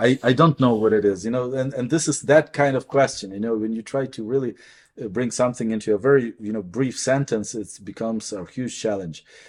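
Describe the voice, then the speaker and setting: A man speaks at a fairly quick pace with a Ukrainian accent and ordinary pitch variation. The recording is very clean, with a silent background. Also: medium pitch for a man. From Ukraine. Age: 40s. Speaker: priest and professor. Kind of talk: interview. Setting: on campus. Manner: halting.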